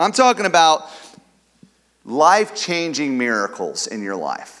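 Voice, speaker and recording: In a Midwestern American accent, a man speaks at a fairly slow pace in a fairly high pitch, his tone animated and his pitch swinging very widely. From US Midwest (Kansas City area). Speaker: pastor, church planter. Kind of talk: sermon. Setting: church.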